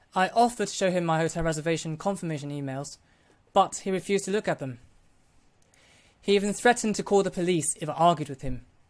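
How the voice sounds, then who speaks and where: In a London accent, a high-pitched man talks very fast with ordinary pitch variation and long, frequent pauses, captured in a very clean recording with a silent background. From Hong Kong. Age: 20s. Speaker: vlogger. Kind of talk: personal account.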